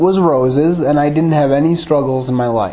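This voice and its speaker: With an Upper Midwest accent, a man speaks at a moderate pace. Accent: Upper Midwest American (Michigan). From Michigan, suburban Grand Rapids. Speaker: lay preacher. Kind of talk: sermon with personal testimony. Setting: church.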